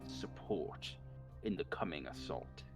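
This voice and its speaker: With clear music in the background, a man uses a resonant, put-on character voice at a fairly slow pace. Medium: actual play. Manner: stern, commanding.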